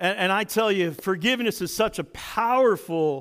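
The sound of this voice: Unforced voice, reading aloud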